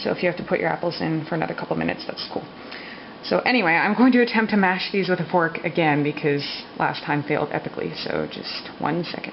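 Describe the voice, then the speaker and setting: Speech moves at a fairly quick pace with noticeable background noise behind it. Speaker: vlogger. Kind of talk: cooking tutorial. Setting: home kitchen at night. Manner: speaking quietly; casual, hesitant with fillers.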